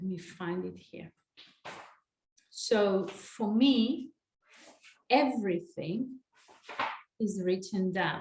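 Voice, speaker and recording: A woman's somewhat breathy, medium-pitched voice, very slow with long, frequent pauses and ordinary pitch variation. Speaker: life coach. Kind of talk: online master class.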